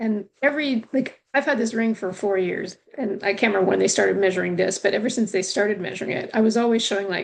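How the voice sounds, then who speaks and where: Talking at a very fast pace with hardly any pauses, a woman with a Canadian accent uses a medium pitch, ordinary pitch variation and vocal fry. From Canada. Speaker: returning guest. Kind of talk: casual chat.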